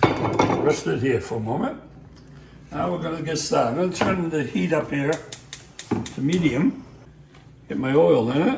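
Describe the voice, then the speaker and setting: A man with a Boston accent, fairly high-pitched, his pitch swinging very widely at a moderate pace, with long, frequent pauses, audible room echo and noticeable background noise. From Boston, US (Sicilian-American family). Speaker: home cook teaching recipes. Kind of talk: cooking tutorial. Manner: casual, with fillers.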